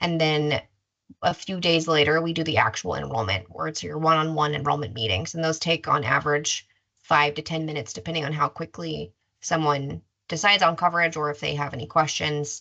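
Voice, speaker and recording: A woman talks at a fairly quick pace in a very deep, low pitch with vocal fry, a bright, sharp tone and ordinary pitch variation. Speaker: insurance enrollment specialist. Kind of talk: webinar presentation. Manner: fast.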